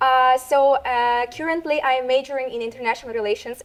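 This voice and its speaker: A woman talks at a very fast pace in a high pitch. She has a Russian accent. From Russia, Tatarstan. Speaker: university student. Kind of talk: interview. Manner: halting.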